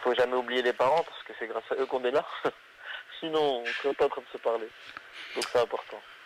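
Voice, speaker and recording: A man talks at a very fast pace with fairly even intonation, big swings in loudness and long, frequent pauses, over noticeable background noise. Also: medium pitch for a man. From northern France (Hazebrouck, near Lille). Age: 20s. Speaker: comedian. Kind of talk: interview.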